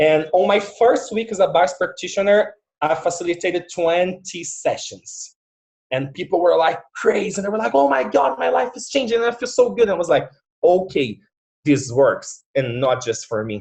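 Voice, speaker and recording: Someone speaks at a moderate pace with a Portuguese accent. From Brazil. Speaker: facilitator and music teacher. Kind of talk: casual interview on video call. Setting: video call.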